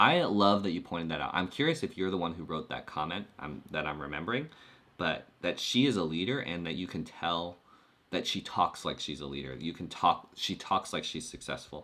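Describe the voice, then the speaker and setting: A man with a very deep, low pitch and vocal fry talks at a fairly quick pace with lively intonation. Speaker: YouTube coach. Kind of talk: live stream chat. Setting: live stream. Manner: clear and fluent on this topic; uses many filler words.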